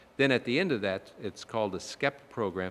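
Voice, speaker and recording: Speaking at a moderate pace, a man is heard. He has an American accent. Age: 60s. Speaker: chamber of commerce executive. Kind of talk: speech. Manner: halting, many filler words.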